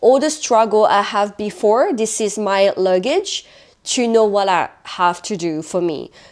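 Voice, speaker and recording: In a French accent, a woman speaks fairly slowly at a medium pitch. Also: lively intonation. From France. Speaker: podcast co-host. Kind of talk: casual chat.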